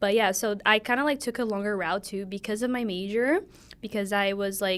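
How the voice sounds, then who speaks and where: Her pace is fairly quick. The woman speaks at medium pitch with fairly even intonation. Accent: Brazilian Portuguese. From Brazil, São Paulo. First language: Portuguese. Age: 20s. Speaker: podcast co-host, college student. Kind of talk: casual chat.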